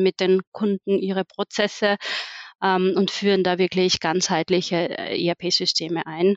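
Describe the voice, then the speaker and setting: Her pitch medium and her intonation monotone and flat, a woman speaks at a fairly slow pace with a slight Austrian accent. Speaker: management consultant. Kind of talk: casual interview.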